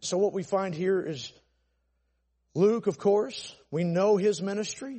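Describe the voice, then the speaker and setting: With a Southern US accent, a man speaks at a high pitch and a fairly slow pace, using ordinary pitch variation and long, frequent pauses. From Atlanta, Georgia, US South. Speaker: pastor. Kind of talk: sermon. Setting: church. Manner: loud; animated.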